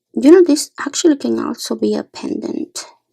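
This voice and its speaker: This is a woman's voice. She talks at a fairly slow pace. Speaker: beading tutorial maker. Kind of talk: tutorial. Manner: soft-spoken.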